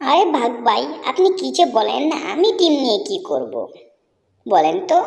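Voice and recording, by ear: The cartoonish character voice is high-pitched and moves at a moderate pace.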